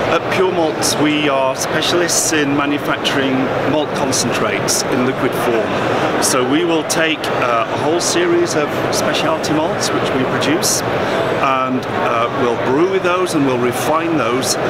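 Against loud background noise, a man talks at a fairly slow pace with ordinary pitch variation in a dry sound with no echo. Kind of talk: interview answer. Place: hall.

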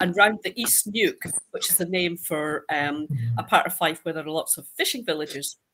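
A woman talks in a bright, sharp tone with lively intonation. Her pace is moderate. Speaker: guest. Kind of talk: panel talk, descriptive storytelling. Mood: warm, humorous. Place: home room.

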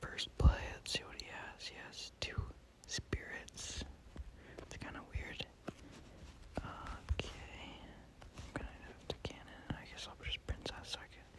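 The speaker whispers fairly slowly, with long pauses coming often. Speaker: ASMR gaming creator. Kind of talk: whispered gameplay commentary. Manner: whispered; casual, laid-back.

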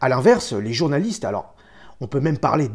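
Very wide pitch swings over a quiet background. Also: man. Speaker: tattoo artist; history documentary host. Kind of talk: scripted narration. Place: home room.

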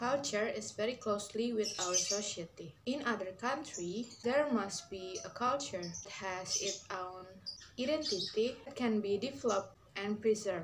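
Over noticeable background noise, a woman talks at a moderate pace with an Indonesian accent and ordinary pitch variation. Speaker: university student. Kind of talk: class presentation video. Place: home room. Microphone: phone near.

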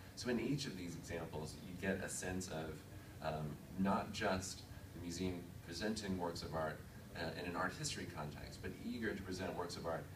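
Noticeable background noise accompanies a man with a very deep, low voice. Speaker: museum digital initiatives manager. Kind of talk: conference presentation. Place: meeting room. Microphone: podium.

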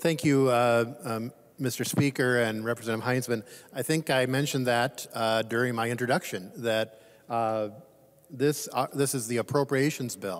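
At a moderate pace and medium pitch, a man talks with fairly even intonation in an unremarkable speaking voice. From Minnesota. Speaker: state legislator. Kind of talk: legislative floor speech. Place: hall.

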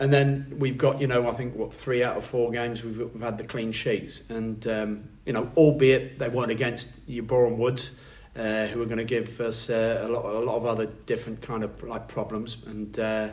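Hardly pausing at all, the speech runs at a moderate pace in a flat monotone. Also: man. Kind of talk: interview answer.

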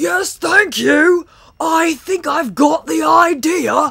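Someone puts on a high-pitched character voice. The words come out very slowly. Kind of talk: comic overacting. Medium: game stream. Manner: loud, exclamatory, overeager.

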